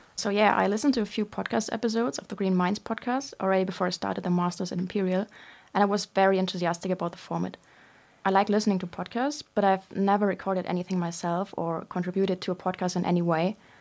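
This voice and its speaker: A woman with a German accent speaks at a very fast pace. The recording is very clean with a silent background. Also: medium pitch for a woman, ordinary pitch variation. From Germany. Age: 20s. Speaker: student podcast co-host. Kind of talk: casual chat.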